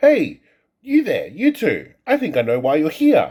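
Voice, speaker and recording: A man puts on a character voice pitched extremely high. He speaks at a moderate pace. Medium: read story.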